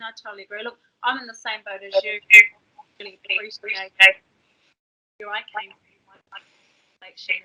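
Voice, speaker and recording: A woman with a New Zealand accent speaks at a fairly quick pace and a fairly high pitch, her bright, sharp tone held to monotone, flat intonation while her loudness swings widely between long, frequent pauses. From New Zealand (Māori). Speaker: podcast host. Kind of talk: casual chat.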